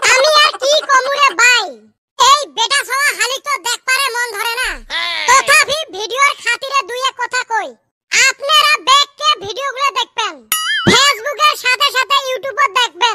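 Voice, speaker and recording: This cartoonish character voice is squeaky and moves at a moderate pace. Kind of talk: cartoon comedy.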